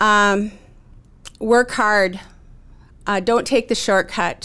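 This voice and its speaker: In an Upper Midwest accent, a woman speaks at a very slow pace with long, frequent pauses. Her fairly high pitch stays on a monotone, flat intonation. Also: very clean recording, silent background. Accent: Upper Midwest American. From North Dakota, Williston. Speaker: real estate broker and rancher. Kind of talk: interview.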